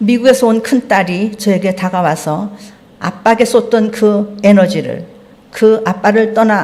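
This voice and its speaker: A somewhat breathy woman speaks at a medium pitch and a moderate pace. Her intonation is fairly even, with audible room echo. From North Korea, Pyongyang. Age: 70s. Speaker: lay church member preaching. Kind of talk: sermon testimony. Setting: church service.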